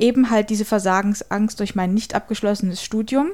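A woman speaks at a moderate pace with a fairly high pitch. She has an ordinary speaking voice with fairly even intonation. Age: 30s. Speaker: paralegal. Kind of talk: testimony.

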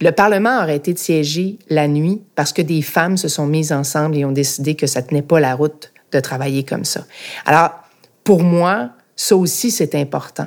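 A woman at a moderate pace, her pitch very deep and low. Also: ordinary pitch variation. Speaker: podcast host, former politician. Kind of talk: interview.

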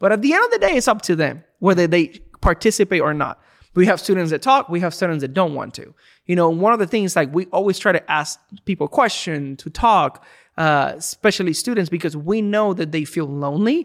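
A man with a Spanish accent, high-pitched and at a fairly quick pace. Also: ordinary pitch variation. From Puerto Rico. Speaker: student ministry pastor. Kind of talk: casual chat.

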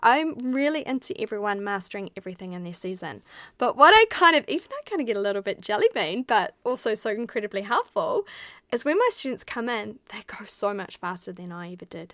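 Woman with a bright, sharp tone and fairly high pitch, lively intonation, big swings in loudness and a fairly quick pace, on a very clean recording with a silent background and a dry, close sound with no echo. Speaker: podcast host, artist and art business mentor. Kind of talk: solo podcast monologue. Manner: animated.

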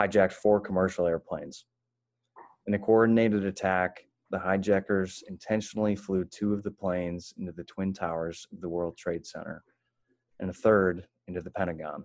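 With an American accent, a man speaks at a very deep, low pitch in monotone, flat intonation, his loudness taking big swings. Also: moderate pace. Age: 20s. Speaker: podcast co-host. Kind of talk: reading aloud. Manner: halting.

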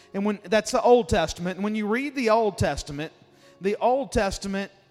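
With a Mississippi accent, a man speaks at a high pitch. His pace is fairly quick. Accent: Southern US (Mississippi). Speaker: guest preacher. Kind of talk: sermon. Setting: church.

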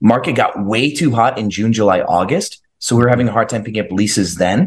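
Fairly quick pace and medium pitch from a man with a plain, everyday voice. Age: 30s. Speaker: short-term rental entrepreneur. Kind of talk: interview.

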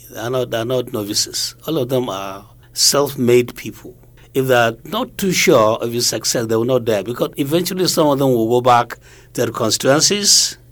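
With a northern Nigerian accent, a man speaks at a moderate pace and medium pitch with ordinary pitch variation. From Nigeria, Kano. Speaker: retired broadcasting regulator. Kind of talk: interview.

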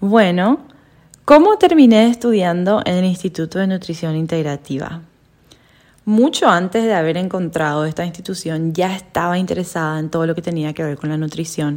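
A woman's unremarkable speaking voice, fairly low in pitch, with ordinary pitch variation and a moderate pace, in a very clean recording with a silent background. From Paraguay. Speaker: podcast co-host, health coach. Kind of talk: casual chat.

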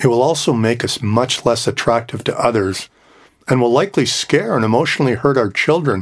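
In a very clean recording with a silent background, a man speaks at medium pitch and a moderate pace with ordinary pitch variation, in a plain, everyday voice. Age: 60s. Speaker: podcast host. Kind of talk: reflective monologue.

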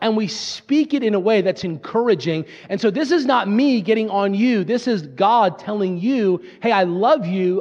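A man with an American accent speaks at a high pitch and a moderate pace. His tone is animated, with lively intonation. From Pennsylvania, US. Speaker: pastor. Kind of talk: sermon.

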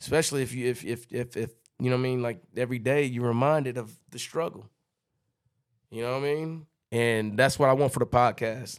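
A man at medium pitch speaks in an unremarkable speaking voice. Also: fairly even intonation. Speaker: podcast co-host. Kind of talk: casual chat.

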